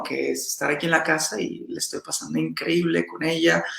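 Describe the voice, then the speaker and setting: Through noticeable background noise, a man talks at a moderate pace. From Mexico, Veracruz. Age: 30s. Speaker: salsa dancer and teacher. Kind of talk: interview. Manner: animated.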